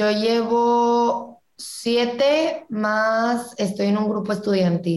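At a very slow pace and with hardly any pauses, a woman speaks in a fairly high voice with ordinary pitch variation. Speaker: student entrepreneur. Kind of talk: casual interview chat.

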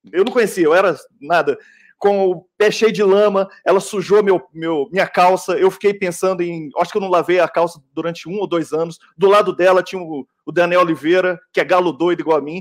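This man has a high pitch, and his fairly even intonation moves at a moderate pace. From Belo Horizonte, Minas Gerais. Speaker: sound technician and film editor. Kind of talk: panel discussion. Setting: video call.

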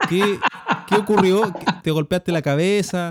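A man with a Chilean accent is heard in a dry, close sound with no echo. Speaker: podcast host. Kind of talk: casual interview.

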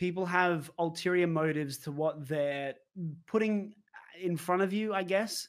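This man has an Australian accent and a high voice. He speaks at a fairly slow pace. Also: ordinary pitch variation. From Brisbane, Australia. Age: 20s. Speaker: streamer. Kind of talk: interview. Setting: video call.

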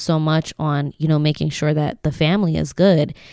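With an American accent, a woman speaks in a very deep, low pitch and fairly even intonation, in a dry, close sound with no echo. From Lancaster, Pennsylvania (from age ten). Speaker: real estate agent. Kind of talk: casual interview chat.

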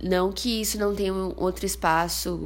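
Audible room echo colors a woman's voice. Behind her, noticeable background noise is present. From interior of São Paulo state, Brazil (Bauru). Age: 20s. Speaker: podcast host, journalism student. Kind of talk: casual solo podcast monologue.

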